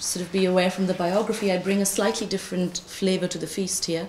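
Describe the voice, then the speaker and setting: There is light background noise and audible room echo as a woman talks. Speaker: conference presenter. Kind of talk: conference talk. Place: classroom. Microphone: podium.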